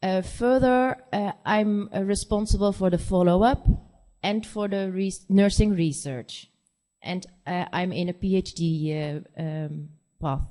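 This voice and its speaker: This woman talks at a fairly slow pace with a Dutch accent and medium pitch. Her tone is dark and mellow, with ordinary pitch variation. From Netherlands (born in Korea, adopted at four). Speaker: nurse practitioner. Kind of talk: conference presentation. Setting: conference stage. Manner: halting, many fillers.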